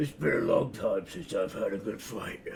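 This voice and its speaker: In a put-on character voice, a raspy man speaks at a moderate pace over clear background noise. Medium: actual play. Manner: terse, gruff.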